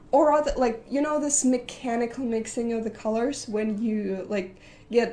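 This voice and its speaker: A woman's fairly high-pitched, dark, mellow voice with a non-native accent and ordinary pitch variation. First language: not English. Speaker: digital artist. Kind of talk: casual vlog talk. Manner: halting, many fillers.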